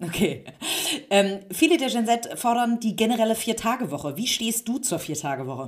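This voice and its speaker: Here a woman speaks with a fairly high pitch. Her voice swings very widely in pitch. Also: moderate pace. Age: 30s. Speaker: magazine publisher and interviewer. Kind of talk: interview. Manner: hesitant with many fillers.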